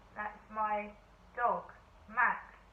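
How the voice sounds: Amid audible room echo, a woman at a medium pitch speaks very slowly with a fairly even intonation.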